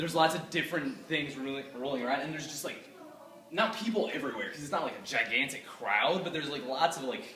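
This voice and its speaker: Over noticeable background noise, a man with a fairly high pitch talks at a very fast pace, with lively intonation and big swings in loudness. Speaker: aspiring filmmaker pitching a story idea. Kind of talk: casual chat.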